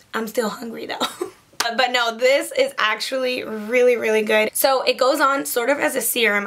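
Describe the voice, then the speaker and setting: Over noticeable background noise, speech moves at a moderate pace with fairly even intonation. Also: woman. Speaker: beauty vlogger. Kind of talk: casual product review. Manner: casual, chatty.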